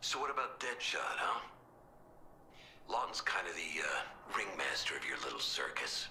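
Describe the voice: A man speaks in a put-on character voice, low-pitched, with big pitch swings and a bright, sharp tone. His pace is moderate, and faint background noise can be heard.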